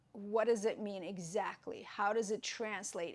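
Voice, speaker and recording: A woman speaks with a Russian accent at a fairly high pitch. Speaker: yoga teacher. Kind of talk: tutorial. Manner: halting.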